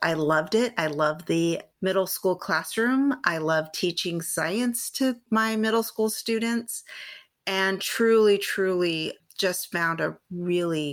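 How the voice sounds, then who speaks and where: A woman's fairly low voice with a Californian accent, at a very slow pace with ordinary pitch variation, on a very clean recording with a silent background. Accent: Californian American English. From Southern California, San Gabriel Valley. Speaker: science educator and researcher. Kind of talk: interview conversation.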